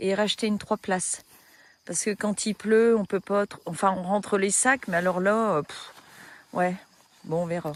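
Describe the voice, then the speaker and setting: In a very clean recording with a silent background and a dry, close sound with no echo, a woman speaks at a medium pitch and a fairly slow pace with fairly even intonation. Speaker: hiking vlogger. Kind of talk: casual vlog narration. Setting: outdoors. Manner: soft-spoken.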